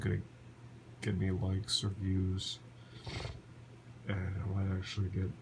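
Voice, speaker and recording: Over noticeable background noise, a man speaks in a very deep, low voice with long, frequent pauses. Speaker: vlogger. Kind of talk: personal vlog monologue. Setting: lying on the floor at home. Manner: halting.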